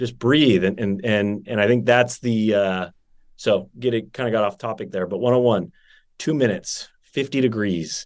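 Against a quiet background, a man with an American accent and an unremarkable speaking voice talks at a moderate pace with ordinary pitch variation. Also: medium pitch for a man. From Northern California. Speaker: wellness entrepreneur. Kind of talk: casual interview chat.

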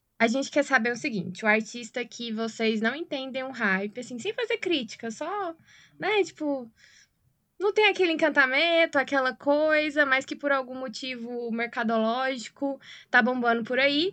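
A woman with a slight Goiás accent, high-pitched and bright, sharp in tone, at a moderate pace with lively intonation. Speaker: podcast host. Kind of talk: interview hosting.

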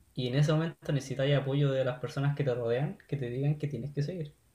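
A man's fairly high, somewhat breathy voice with a dark, mellow tone, in a Chilean accent, monotone and flat, at a fairly quick pace. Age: 20s. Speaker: software developer. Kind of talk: casual chat.

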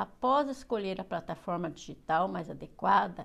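A woman at a fairly slow pace. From Paraná, Brazil. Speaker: student teacher giving course presentation. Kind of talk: reading aloud. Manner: halting.

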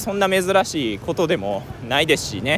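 High-pitched man with very wide pitch swings over noticeable background noise. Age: 20s. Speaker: travel podcaster. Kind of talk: casual monologue. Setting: outdoors.

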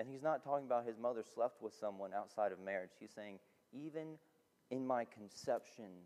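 A man speaks at a medium pitch and a moderate pace, in a plain, everyday voice. His loudness swings widely while his pitch varies in an ordinary way. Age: 20s. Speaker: student pastor. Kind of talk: sermon.

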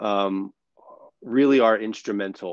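Speaking at a very slow pace, a man with a fairly low pitch talks with an American accent. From New York City. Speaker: performer and author, speaker. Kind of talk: casual interview chat.

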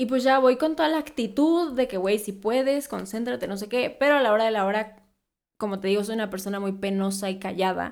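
With a Mexican accent, a woman talks at a fairly quick pace, her fairly high pitch showing ordinary variation, in a very clean recording with a silent background. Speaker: beauty content creator. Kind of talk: casual interview.

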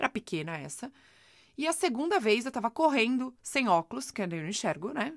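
An animated tone with vocal fry, very wide pitch swings, and a moderate pace, in a very clean recording with a silent background. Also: woman, fairly high pitch for a woman. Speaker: podcast host, self-help coach. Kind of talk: motivational monologue.

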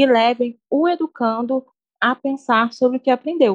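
The sound is dry and close, with no echo. A woman speaks at a moderate pace in a high-pitched voice. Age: 20s. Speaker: pedagogy student, podcast co-host. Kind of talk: semi-scripted educational podcast discussion.

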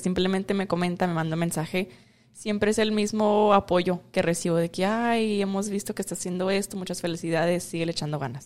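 This is a woman with an unremarkable speaking voice. Her pitch sits at medium with ordinary variation. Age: 20s. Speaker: beauty pageant winner and model. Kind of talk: casual interview. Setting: outdoors in a park.

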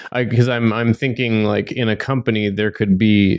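A man speaks at a moderate pace in a normal speaking voice. His pitch is fairly low. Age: 30s. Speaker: podcast host. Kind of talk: casual interview chat.

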